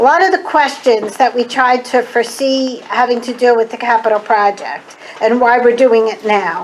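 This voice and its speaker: A woman with an American accent speaks at a moderate pace in a high pitch with ordinary pitch variation, over noticeable background noise. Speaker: school board member. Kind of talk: public presentation at village board meeting.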